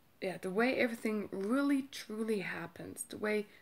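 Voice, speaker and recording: Someone with a German accent speaks at a fairly slow pace with ordinary pitch variation. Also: woman. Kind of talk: casual talk to camera.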